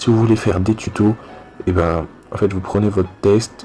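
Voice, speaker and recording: Fairly low-pitched male speech, monotone and flat, at a fairly slow pace over music in the background. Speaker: youtuber teaching graphic design. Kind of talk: tutorial.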